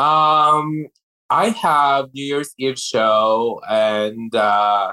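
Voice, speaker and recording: With a bright, sharp tone, a man talks at medium pitch and ordinary pitch variation. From Philippines. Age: 30s. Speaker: drag performer. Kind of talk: interview.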